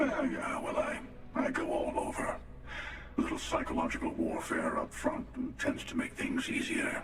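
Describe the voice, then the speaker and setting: Putting on a character voice at an extremely high pitch, a man speaks at a moderate pace amid clear echo and clear background noise. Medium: game stream. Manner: dry, wry.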